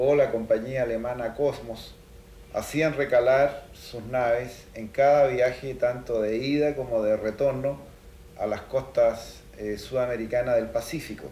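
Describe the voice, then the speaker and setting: A man at a medium pitch with a dark, mellow, somewhat breathy tone, fairly slow, with audible room echo and light background noise. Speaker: maritime historian interviewee. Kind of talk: interview. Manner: hesitant, filler-laden. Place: home room.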